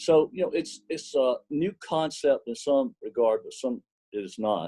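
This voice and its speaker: A man speaks with a Southern US accent. The sound is dry and close, with no echo. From US South, small cotton mill village. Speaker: apparel company executive. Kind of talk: interview.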